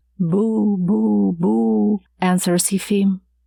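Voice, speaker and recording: On a very clean recording with a silent background and a dry, close sound with no echo, a woman speaks in a dark, mellow tone. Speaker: audiobook narrator. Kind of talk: audiobook narration of a classic short story.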